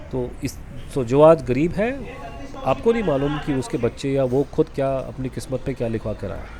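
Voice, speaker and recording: A man with a medium-pitched voice speaks at a moderate pace with lively intonation over noticeable background noise. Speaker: vlogger. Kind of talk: travel vlog voice-over. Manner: casual, halting with self-corrections.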